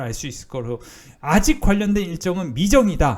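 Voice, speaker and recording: This man's pitch is high. It swings very widely. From Seoul, South Korea. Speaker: stock market YouTuber. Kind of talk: stock analysis commentary. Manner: halting, many fillers.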